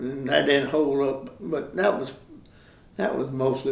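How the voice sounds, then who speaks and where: In audible room echo, a man with a Southern US accent speaks at a fairly slow pace, his medium pitch showing ordinary variation. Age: 80s+. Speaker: local resident sharing memories. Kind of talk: oral history interview. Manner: halting, many fillers.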